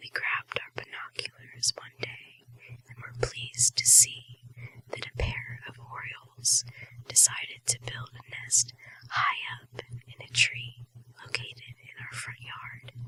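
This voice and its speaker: A woman's whispering at a fairly slow pace, with big swings in loudness. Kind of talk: ASMR whispered short story reading. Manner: whispered, soft.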